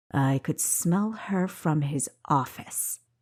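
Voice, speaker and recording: A woman's put-on character voice, very deep and low in pitch, with lively intonation at a very slow pace. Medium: read story. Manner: gruff, leering.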